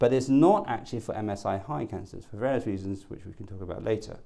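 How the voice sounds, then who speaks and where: There is audible room echo as a man speaks with ordinary pitch variation. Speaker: oncologist. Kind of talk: lecture. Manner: fast.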